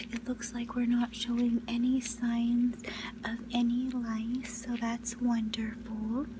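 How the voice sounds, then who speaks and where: A soft-spoken voice comes through over noticeable background noise. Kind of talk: ASMR school nurse role-play, personal attention.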